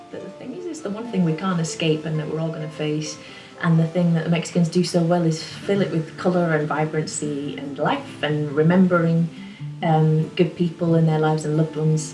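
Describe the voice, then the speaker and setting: A woman's very deep, low voice with an English accent, fairly quick pace and fairly even intonation, with audible room echo and music in the background. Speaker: singer-songwriter. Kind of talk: casual monologue to camera. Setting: home studio.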